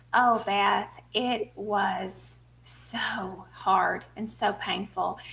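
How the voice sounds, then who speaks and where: With a Southern US accent, a woman talks at a very slow pace. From US South, small town. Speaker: author and speaker. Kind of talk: interview testimony.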